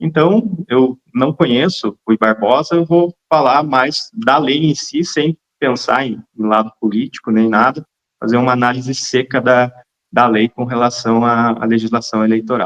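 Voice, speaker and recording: A man with a Paraná accent talks at a fairly slow pace in a medium pitch, with ordinary pitch variation and a dry, close sound with no echo. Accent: Paraná accent, noticeable. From central Paraná, Brazil. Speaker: lawyer. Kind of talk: interview.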